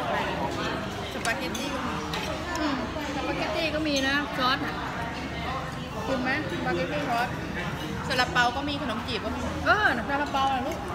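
Over crowd noise in the background, a woman speaks with ordinary pitch variation. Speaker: diner vlogger. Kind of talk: casual vlog chat. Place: cafe. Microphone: phone near.

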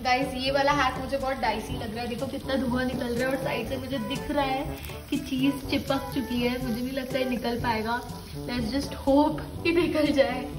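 At a moderate pace, a woman speaks while clear music sounds behind her. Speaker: food vlogger. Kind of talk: casual vlog chat.

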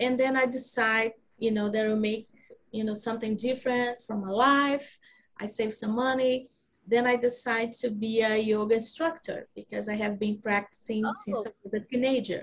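Speaking at a moderate pace with a Brazilian Portuguese accent, a woman sounds somewhat breathy and keeps her intonation fairly even. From Brazil, Rio de Janeiro. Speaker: knitting designer and teacher. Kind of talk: casual interview chat. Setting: video call. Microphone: video call.

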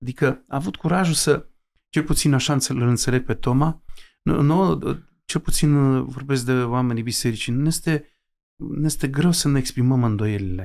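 A man with a medium pitch and ordinary pitch variation speaks at a moderate pace. His loudness stays very even throughout. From Romanian mountain village. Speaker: Orthodox bishop. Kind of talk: interview. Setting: home library. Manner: halting, many fillers.

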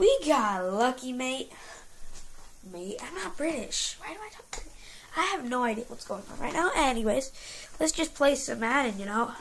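With noticeable background noise, a woman talks at a moderate pace and a high pitch, her voice showing very wide pitch swings, big swings in loudness, and long, frequent pauses. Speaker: gaming youtuber. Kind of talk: gameplay commentary; casual chat. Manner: animated.

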